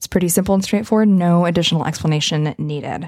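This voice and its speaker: Recorded dry and close with no echo, a woman in a normal speaking voice talks at a fairly low pitch with fairly even intonation. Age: 30s. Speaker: podcast host. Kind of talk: solo monologue. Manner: casual.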